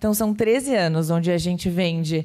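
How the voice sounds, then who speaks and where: A woman speaks at a fairly slow pace with a dark, mellow tone. The recording is very clean, with a silent background. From Florianópolis, southern Brazil. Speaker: design consultancy CEO and conference speaker. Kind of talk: conference talk. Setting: stage with audience.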